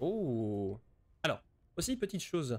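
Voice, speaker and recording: This man's pitch is fairly high. His tone is dark and mellow. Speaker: gaming streamer. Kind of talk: live game commentary and tutorial. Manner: hesitant, many repeated words. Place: home room.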